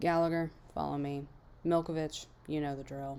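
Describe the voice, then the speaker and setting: In a put-on character voice, the speaker drawls at a moderate pace with a low-to-middle pitch over clear background noise. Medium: read story. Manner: drawling, curt.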